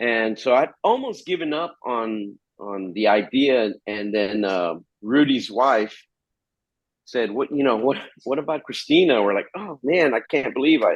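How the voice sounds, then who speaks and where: Speaking with a Spanish accent, a man talks at a fairly slow pace, his medium-pitched voice carrying lively intonation. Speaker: metal guitarist. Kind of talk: interview. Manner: halting, many repeated words.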